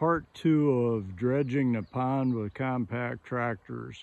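Pitch varies in an ordinary way as a man talks at a fairly slow pace. The sound is dry, with no echo. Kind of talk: casual vlog chat. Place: farm. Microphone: phone near.

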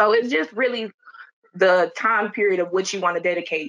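A woman with a Detroit accent talks at a fairly quick pace against a quiet background. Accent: Detroit American English. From Detroit, Michigan. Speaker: medical administrative assistant. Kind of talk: panel discussion. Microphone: video call.

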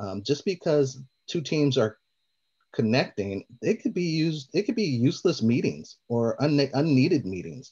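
Against a quiet background, a man with a dark, mellow tone talks at a moderate pace, his pitch swinging very widely. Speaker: community host; guest. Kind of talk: moderated panel discussion. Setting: video call. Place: home room. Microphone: video call.

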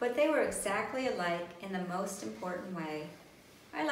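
Lively intonation colors a natural reading voice.

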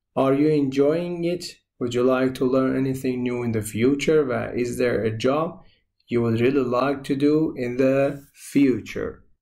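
A man speaks at a medium pitch with a dark, mellow tone, and audible room echo surrounds his voice. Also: fairly quick pace. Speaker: English teacher. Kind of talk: tutorial.

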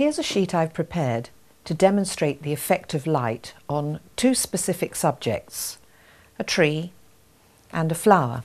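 A woman talks at a moderate pace and a fairly low pitch. Her intonation is lively. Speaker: art instructor. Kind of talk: tutorial. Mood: warm, encouraging. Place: studio.

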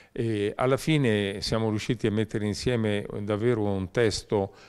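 A man's plain, everyday voice, fairly low in pitch, with fairly even intonation and a fairly slow pace, on a very clean recording with a silent background. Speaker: book co-author. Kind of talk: interview.

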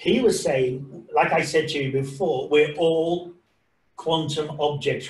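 Audible room echo surrounds a man who talks at a very slow pace. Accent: English. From England, of Irish parents. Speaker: science presenter. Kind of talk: lecture. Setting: video call. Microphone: video call.

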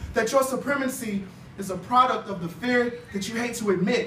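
A man speaks at a moderate pace with ordinary pitch variation. Audible room echo and light background noise surround his voice. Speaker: spoken word poet. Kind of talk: spoken word poetry performance. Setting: live open mic. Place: hall.

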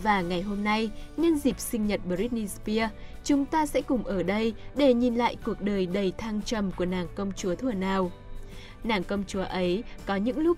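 Fairly slow, lively-intoned speech from a woman at medium pitch, with music in the background. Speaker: narrator. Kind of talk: biography podcast narration.

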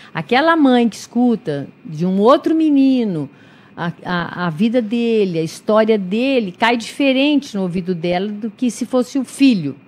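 This woman's pitch swings very wide as she talks at a moderate pace. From interior of São Paulo state, Brazil. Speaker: clinical psychologist and volunteer. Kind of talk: radio interview. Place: studio. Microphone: studio mic.

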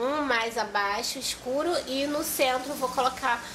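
A woman talks at a high pitch with ordinary pitch variation. Noticeable background noise can be heard. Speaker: vlogger. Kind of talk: casual makeup vlog chat. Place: home room. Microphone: phone near.

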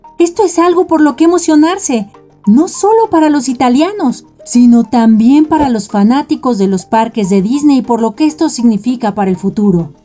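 A high-pitched woman's voice with very wide pitch swings, very even loudness and hardly any pauses, set against background music. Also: moderate pace. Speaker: narrator. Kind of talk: entertainment video narration.

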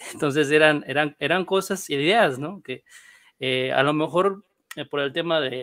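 Against a silent background on a very clean recording, a man with a normal speaking voice talks at a fairly high pitch and moderate pace with ordinary pitch variation. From northern Mexico (Monclova, Coahuila). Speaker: panel guest. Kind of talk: casual panel discussion.

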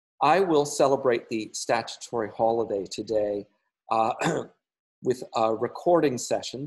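The speaker goes at a fairly slow pace with ordinary pitch variation. The background is quiet. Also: man. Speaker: church minister. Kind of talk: informal pastoral talk. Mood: calm, friendly. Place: home room. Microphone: webcam.

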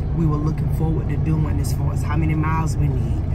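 A woman talks at a fairly quick pace. Music plays in the background. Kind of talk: casual vlog review. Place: car. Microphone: phone near.

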